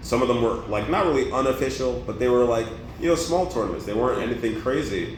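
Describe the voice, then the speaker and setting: Over noticeable background noise and audible room echo, a man at medium pitch speaks in an animated tone at a fairly quick pace. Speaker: former esports player. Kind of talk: casual interview. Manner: loud.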